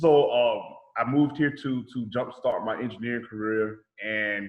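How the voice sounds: Speaking in a Southern US accent, a man uses a medium pitch and fairly even intonation at a fairly slow pace.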